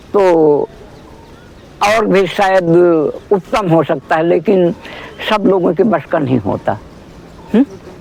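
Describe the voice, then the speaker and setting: Over noticeable background noise, a man with a high pitch speaks with lively intonation and very even loudness, pausing long and often. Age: 70s. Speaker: elderly yoga practitioner. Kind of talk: casual chat.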